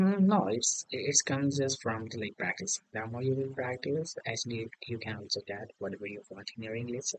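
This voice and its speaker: A man with an Indian accent and medium pitch talks at a moderate pace with lively intonation and hardly any pauses. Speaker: English learner. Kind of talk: casual conversation practice. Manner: hesitant, many fillers.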